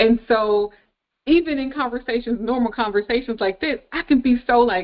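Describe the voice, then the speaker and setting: A woman speaks in a high voice at a moderate pace, with ordinary pitch variation. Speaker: relationship podcast co-host. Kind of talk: casual chat. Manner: loud when passionate, can sound like yelling.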